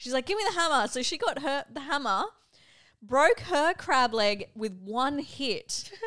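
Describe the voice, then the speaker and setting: The voice, with an Australian accent, has a bright, sharp tone and very wide pitch swings, moving at a fairly slow pace. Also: woman, high pitch for a woman. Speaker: podcast co-host. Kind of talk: casual chat.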